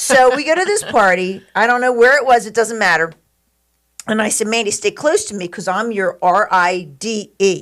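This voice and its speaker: A woman's fairly high, animated voice with lively intonation at a moderate pace. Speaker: podcast host. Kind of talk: casual chat. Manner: loud.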